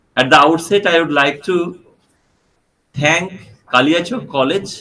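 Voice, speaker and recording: Bright and sharp in tone, a man speaks at fairly high pitch with ordinary pitch variation. His pace is moderate, and room echo is audible. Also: very even loudness. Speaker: professor. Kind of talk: lecture.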